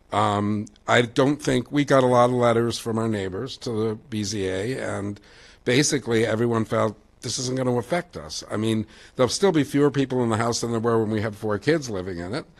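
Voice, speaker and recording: Here a man talks in an ordinary speaking voice at medium pitch. His pace is fairly quick, with ordinary pitch variation. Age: 60s. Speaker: resident giving public comment. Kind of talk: public comment at meeting. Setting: public board meeting.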